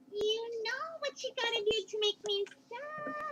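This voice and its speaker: A female-sounding, squeaky put-on character voice with a bubbly tone and extremely high pitch speaks at a moderate pace. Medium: read story. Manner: bubbly, bouncy.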